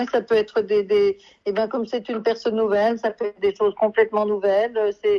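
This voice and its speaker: A woman talks fairly quickly at a fairly high pitch, her tone dark and mellow with fairly even intonation. The sound is dry and close, with no echo. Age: 70s. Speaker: agency client giving testimonial. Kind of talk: testimony.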